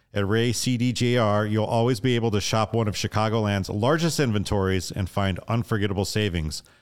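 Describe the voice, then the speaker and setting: Recorded very cleanly against a silent background, a man speaks in an ordinary speaking voice at a moderate pace, with fairly low pitch and ordinary pitch variation. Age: 40s. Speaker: podcast host. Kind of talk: casual podcast interview.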